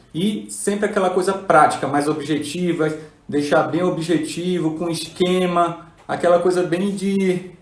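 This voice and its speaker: Over noticeable background noise and audible room echo, a man speaks at a fairly slow pace with a high pitch. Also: ordinary pitch variation. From northern Brazil (Belém, Pará) then Paraíba. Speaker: neurologist. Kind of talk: live stream chat. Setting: Instagram live.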